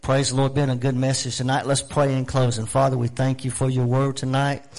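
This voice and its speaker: A man's voice, medium in pitch. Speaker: pastor. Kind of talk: prayer and announcements. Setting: church.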